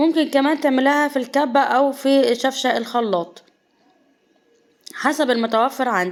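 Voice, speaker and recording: A woman with an Egyptian accent speaks at a moderate pace. Her pitch is high, with ordinary variation. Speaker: cooking channel host. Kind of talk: cooking tutorial.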